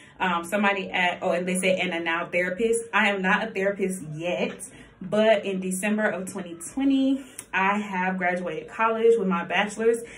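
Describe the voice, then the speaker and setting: A woman talks at a moderate pace in a medium pitch. Her intonation is fairly even, and audible room echo surrounds her voice. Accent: American. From US South, Columbia, South Carolina. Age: 20s. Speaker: vlogger. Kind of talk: casual chat.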